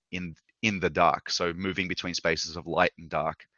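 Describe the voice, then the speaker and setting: A man with an Australian accent and a very deep, low pitch talks at a fairly quick pace. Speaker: video game lighting artist. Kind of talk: lecture. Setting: live online session. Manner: fast.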